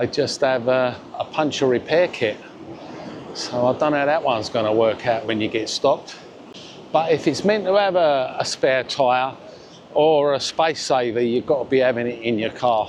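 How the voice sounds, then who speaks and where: A man's medium-pitched voice in a Cockney accent at a moderate pace, with ordinary pitch variation and noticeable background noise. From London (Cockney). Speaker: vlogger. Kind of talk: walking vlog. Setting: outdoors. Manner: casual, with fillers.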